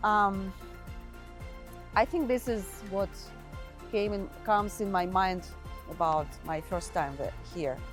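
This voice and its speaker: With music in the background, a woman with a Russian accent speaks very slowly, with long, frequent pauses and ordinary pitch variation. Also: medium pitch for a woman. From Russia (Pskov, northwest). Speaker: immigrant. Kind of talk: interview answer.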